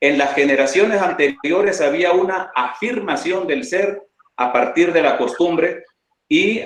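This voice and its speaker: A man speaks at a high pitch and a fairly slow pace. His pitch swings very widely. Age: 60s. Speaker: lawyer and panelist. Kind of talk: round table talk.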